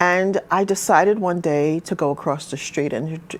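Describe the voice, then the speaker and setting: Noticeable background noise behind a woman's mid-pitched voice. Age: 60s. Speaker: pastor and community advocate. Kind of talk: interview testimony.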